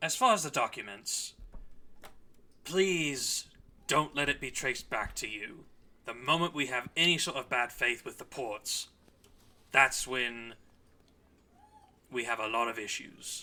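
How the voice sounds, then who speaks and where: Putting on a character voice at a medium pitch, a man speaks at a moderate pace with long, frequent pauses. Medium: actual play. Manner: gruff, clipped.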